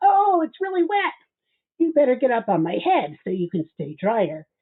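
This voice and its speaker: This is a put-on character voice with a fairly high pitch. It moves at a moderate pace with very wide pitch swings. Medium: read story. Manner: smooth, coaxing.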